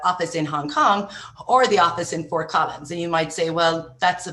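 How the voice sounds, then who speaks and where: With an Irish accent, a woman speaks at a fairly low pitch in a bright, sharp tone, her intonation fairly even. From Ireland. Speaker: entrepreneur. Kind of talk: podcast interview. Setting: podcast.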